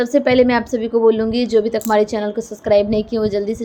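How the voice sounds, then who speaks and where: The intonation is monotone and flat. The woman's pitch sits fairly high. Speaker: motivational YouTuber. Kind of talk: motivational talk.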